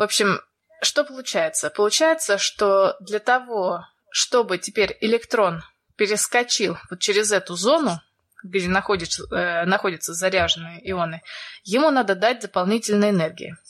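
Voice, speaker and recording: Using a plain, everyday voice, a woman speaks at a medium pitch and a moderate pace with lively intonation. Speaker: podcast co-host. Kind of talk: science explainer.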